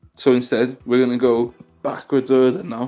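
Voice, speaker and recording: The speaker talks at a moderate pace over music in the background. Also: man. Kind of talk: casual card game news commentary. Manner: casual, chatty.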